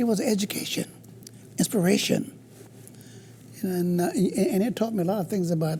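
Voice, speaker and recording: A high-pitched man at a moderate pace, with long, frequent pauses, ordinary pitch variation, very even loudness and noticeable background noise. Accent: American. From US South, Carolina. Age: 70s. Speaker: blues guitarist. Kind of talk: interview.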